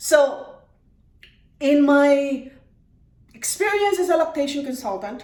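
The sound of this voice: Slowly, a woman with high pitch and a slightly mellow tone speaks with lively intonation amid audible room echo.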